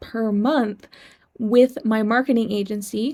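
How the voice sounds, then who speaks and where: At a fairly slow pace, a woman speaks with a fairly high pitch on a very clean recording with a silent background. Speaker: online entrepreneur and video creator. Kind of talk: personal story vlog. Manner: deliberately slow, measured pace; somewhat stiff.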